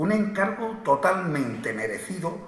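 Amid noticeable background noise, a man speaks rather slowly. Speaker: presenter introducing the proclaimer, brotherhood official. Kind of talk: formal ceremonial introduction. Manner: formal, solemn.

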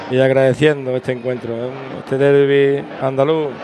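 A man speaks at a medium pitch while music sounds in the background. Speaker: radio co-commentator. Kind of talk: casual football co-commentary. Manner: chatty, halting with repeated words.

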